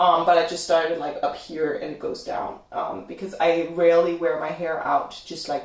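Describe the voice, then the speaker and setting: A woman speaks with a Danish accent at a moderate pace and a fairly low pitch. Noticeable background noise is present. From Denmark. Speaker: YouTuber. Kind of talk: livestream Q&A chat. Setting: home livestream.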